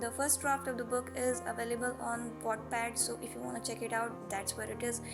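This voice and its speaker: Background music behind a woman's moderately paced speech. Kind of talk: casual book review talk to camera.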